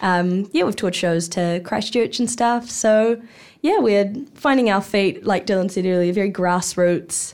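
A woman with a New Zealand accent speaks at a fairly slow pace and medium pitch, with ordinary pitch variation. Her loudness stays very even on a very clean recording with a silent background. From New Zealand, Hawke's Bay. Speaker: actor. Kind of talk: casual chat. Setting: studio.

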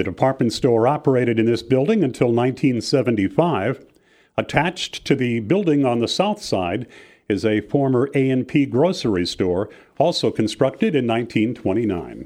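An ordinary speaking voice from a man, medium in pitch with lively intonation, very even loudness and a moderate pace, over a quiet background. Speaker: walking tour guide. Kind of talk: scripted walking-tour narration, read aloud. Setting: studio recording. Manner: measured, formal, even-paced; reads out building names and dates like a catalogue.

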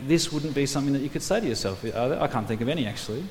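A man with an Australian accent speaks at a fairly high pitch. Noticeable background noise and audible room echo fill the recording. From Australia, New South Wales. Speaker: preacher. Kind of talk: sermon.

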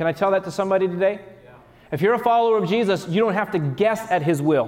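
Through noticeable background noise, a man speaks at a very fast pace with a high pitch and ordinary pitch variation. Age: 30s. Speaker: pastor. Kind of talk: sermon. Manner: repetitive, self-correcting.

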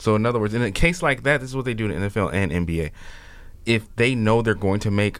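With an American accent, a man speaks in an unremarkable speaking voice at a fairly low pitch, using ordinary pitch variation. The recording is very clean, with a silent background. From Chicago. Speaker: political commentator. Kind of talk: casual chat.

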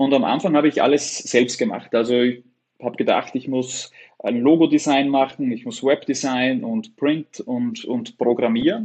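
Man with an Upper Austrian accent, fairly high pitch, lively intonation and a moderate pace. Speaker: web agency owner. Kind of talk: interview conversation.

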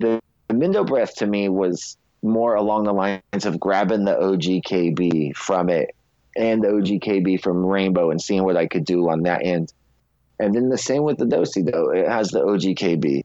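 A man with a fairly low pitch and a normal speaking voice talks at a fairly slow pace, with ordinary pitch variation and very even loudness. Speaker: cannabis seed breeder. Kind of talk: casual chat.

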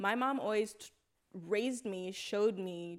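A woman talks at a medium pitch, with ordinary variation in her pitch. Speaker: podcast co-host. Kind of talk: casual chat. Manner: soft-spoken.

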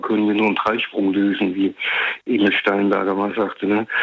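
This man has a fairly low pitch and talks at a fairly quick pace. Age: 60s. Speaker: radio caller. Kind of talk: phone-in discussion. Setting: phone call.

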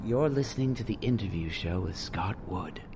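A man's put-on character voice at a fairly low pitch, with clear background noise. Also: moderate pace. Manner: exaggerated, mock announcer.

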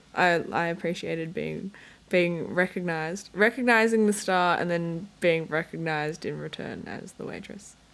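A woman with an Australian accent speaks at a moderate pace and a fairly low pitch. Her pitch variation is ordinary, while her loudness swings widely. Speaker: podcast co-host. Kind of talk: casual chat. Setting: home room with window open.

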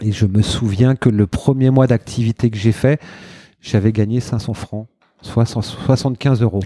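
A man talks at a very slow pace and medium pitch, with fairly even intonation. His tone is dark and mellow, the sound dry and close with no echo. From France, Burgundy, Marseille and Saint-Étienne. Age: 40s. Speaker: event organiser. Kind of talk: interview. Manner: halting.

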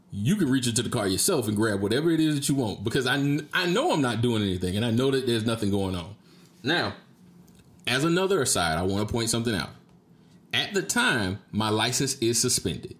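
In a normal speaking voice, with lively intonation and very even loudness, the speaker moves at a fairly quick pace. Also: man, medium pitch for a man. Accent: American. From Jacksonville, Florida (Duval County). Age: 30s. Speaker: podcast host. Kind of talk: casual solo monologue, storytelling. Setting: streamed live on Facebook video.

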